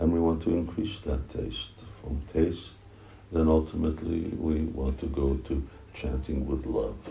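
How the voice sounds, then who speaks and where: A man talks at a fairly slow pace. His pitch is very deep and low, with ordinary variation. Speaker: spiritual teacher officiating initiation. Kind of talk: ceremony address. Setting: temple room with microphone. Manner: halting, many fillers.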